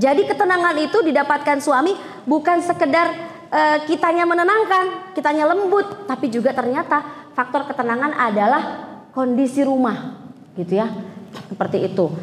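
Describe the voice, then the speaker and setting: Over noticeable background noise and audible room echo, a woman with a high pitch speaks at a moderate pace, her pitch swinging very widely while her loudness stays very even. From South Sulawesi (Bugis). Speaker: female Islamic preacher. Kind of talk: religious lecture.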